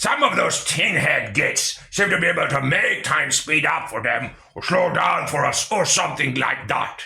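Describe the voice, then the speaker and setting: Using a put-on character voice, a man talks at a moderate pace in a fairly high pitch with hardly any pauses. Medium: read story. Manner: gruff, crude slang.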